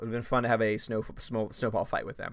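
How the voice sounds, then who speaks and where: A man with an American accent talks at a medium pitch, recorded very cleanly against a silent background. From Louisiana. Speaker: film critic YouTuber. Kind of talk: live stream chat. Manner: fast.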